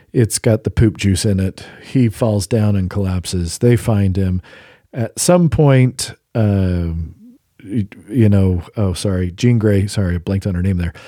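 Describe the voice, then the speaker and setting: In a dry, close sound with no echo and a silent background on a very clean recording, a man with an unremarkable speaking voice talks at a fairly slow pace and a fairly low pitch. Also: ordinary pitch variation. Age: 40s. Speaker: podcast co-host. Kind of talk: casual chat.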